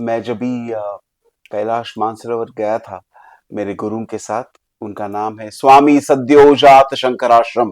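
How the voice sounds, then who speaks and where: A man speaks at a medium pitch with fairly even intonation. His loudness swings widely. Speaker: leadership coach and author. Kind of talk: podcast interview. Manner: Hindi mixed with English.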